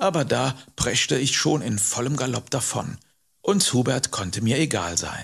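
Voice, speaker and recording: A man's somewhat breathy voice, calm and warm in tone, with lively intonation. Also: medium pitch for a man, fairly slow pace. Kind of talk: audiobook narration, bedtime story telling. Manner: calm, warm storyteller pace, slow and expressive.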